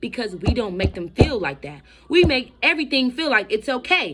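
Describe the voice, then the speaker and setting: A woman projects a raised, high voice with a bright, sharp tone. She sounds animated, with very wide pitch swings. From Florida, Miami. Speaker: vlogger. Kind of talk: personal testimony vlog. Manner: fast.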